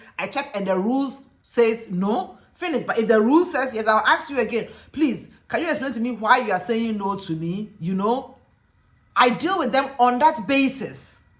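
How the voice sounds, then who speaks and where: A woman's high-pitched voice with a Ghanaian accent, animated in tone, with lively intonation at a moderate pace. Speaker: teacher and lecturer, video blogger. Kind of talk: casual vlog monologue.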